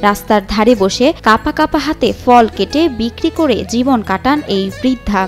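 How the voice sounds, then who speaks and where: With music in the background, a woman's fairly high voice carries lively intonation. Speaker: news reporter. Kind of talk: TV news report narration.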